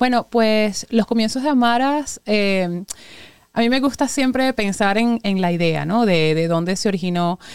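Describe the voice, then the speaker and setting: A woman with an unremarkable speaking voice talks at a fairly slow pace in a fairly high pitch with ordinary pitch variation. The sound is dry and close, with no echo. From Venezuela. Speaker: restaurant owner and chemical engineer. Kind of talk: interview.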